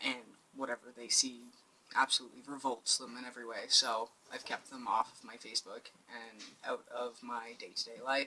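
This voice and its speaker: With a bright, sharp tone and big swings in loudness, a man speaks at a moderate pace and medium pitch in a monotone, flat intonation. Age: 20s. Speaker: vlogger. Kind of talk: casual vlog. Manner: hesitant with fillers.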